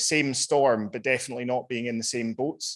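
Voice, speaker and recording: Against a quiet background, a man with a Scottish accent talks fairly quickly at a medium pitch with fairly even intonation. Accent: Scottish, noticeable. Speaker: panel speaker on climate justice. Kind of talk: panel talk.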